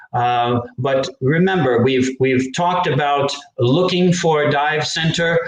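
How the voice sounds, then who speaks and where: A fairly high-pitched man with an American accent, fairly slow delivery, ordinary pitch variation, very even loudness and audible room echo. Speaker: English teacher. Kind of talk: live educational stream. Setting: live online stream.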